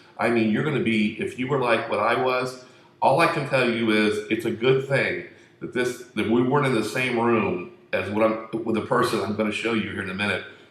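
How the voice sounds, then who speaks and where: A man at a medium pitch, talking at a fairly quick pace, with audible room echo. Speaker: conspiracy video host. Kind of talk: casual monologue. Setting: room at home. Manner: soft-spoken.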